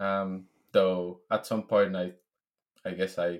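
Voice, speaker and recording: Over a quiet background, a man with a Spanish accent speaks in a very deep, low pitch. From Venezuela. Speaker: software engineer. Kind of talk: casual interview.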